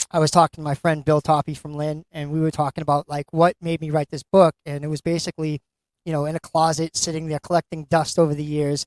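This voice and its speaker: The speaker has a Boston accent and monotone, flat intonation. The recording is very clean with a silent background and a dry, close sound with no echo. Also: man. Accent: Boston-area. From Massachusetts. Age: 50s. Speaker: author. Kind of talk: interview. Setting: live event at a bookstore.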